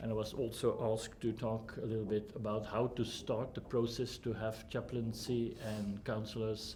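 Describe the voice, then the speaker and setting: A man speaks at a fairly slow pace with a fairly low pitch and a non-native accent, with audible room echo. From Flanders, Belgium. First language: Dutch (Flemish). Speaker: humanist counsellor and trainer. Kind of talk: lecture. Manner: halting, many fillers.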